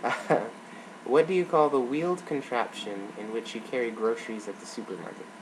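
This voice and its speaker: Noticeable background noise sits behind a man with an American accent. His medium-pitched voice has lively intonation. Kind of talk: casual talk to camera. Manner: hesitant, casual.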